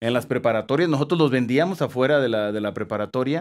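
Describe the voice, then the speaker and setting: A man talks at a fairly quick pace with ordinary pitch variation against a quiet background. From Mexico, Jalisco (Tepatitlán); Jalisco, Mexico. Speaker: TV news reporter. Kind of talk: interview. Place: studio. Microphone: studio mic.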